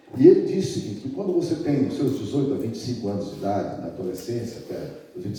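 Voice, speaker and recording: A man's medium-pitched voice carries lively intonation. The room echo is audible, and there is noticeable background noise. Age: 60s. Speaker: pastor. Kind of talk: sermon. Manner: conversational.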